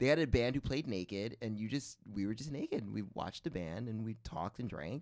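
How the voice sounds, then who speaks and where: Lively intonation runs through a man's unremarkable speaking voice at medium pitch. He keeps a fairly quick pace with hardly any pauses. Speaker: comedy podcast co-host. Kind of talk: improvised comedy interview.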